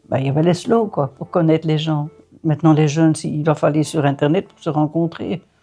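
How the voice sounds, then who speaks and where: A woman's very deep, low voice at a fairly quick pace, with fairly even intonation, big swings in loudness and music in the background. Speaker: grandmother. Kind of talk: casual chat.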